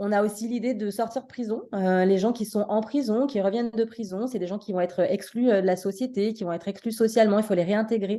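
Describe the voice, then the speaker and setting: A woman talks with a dark, mellow tone at a fairly high pitch, with hardly any pauses. Her intonation is fairly even, and the background is quiet. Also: fairly quick pace. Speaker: social psychology professor. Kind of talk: lecture. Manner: fast.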